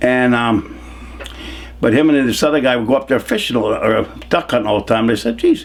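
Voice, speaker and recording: Amid noticeable background noise, a man with an American accent talks at a fairly quick pace broken by long, frequent pauses. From Hudson Valley, New York. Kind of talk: oral history interview answer, casual storytelling. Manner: conversational, reminiscing, humorous.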